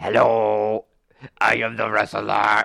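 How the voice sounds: A man puts on a raspy character voice pitched fairly low.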